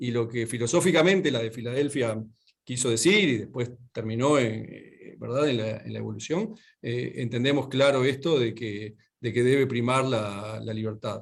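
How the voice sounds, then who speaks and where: With a Uruguayan accent, a man speaks in a medium pitch at a moderate pace. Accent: Rioplatense Spanish (Uruguayan). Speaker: lawyer and speaker. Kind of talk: lecture. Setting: video call. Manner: halting, many fillers.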